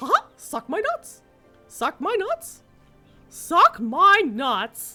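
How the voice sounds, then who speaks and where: Putting on a character voice, a woman speaks at an extremely high pitch, raised and projected, with very wide pitch swings, a very slow pace and long, frequent pauses, while faint music plays in the background. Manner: cartoonish imitation.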